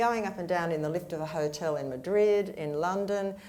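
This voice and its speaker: In an Australian accent, a woman speaks at a fairly low pitch with ordinary pitch variation, and room echo is audible. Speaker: panelist, business communication advisor. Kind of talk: panel discussion. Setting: stage with audience.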